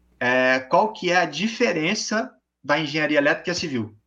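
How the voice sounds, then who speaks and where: A man with a high-pitched voice, a bright, sharp tone and ordinary pitch variation. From Brazil, various states. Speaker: engineering student and startup founder. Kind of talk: casual interview.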